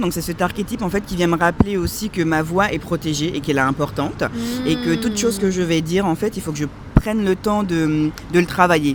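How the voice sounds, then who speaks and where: Fairly quick speech from a woman with a fairly low pitch, ordinary pitch variation and noticeable background noise. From France. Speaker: content creator. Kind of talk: interview. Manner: calm, measured; hesitant, many fillers.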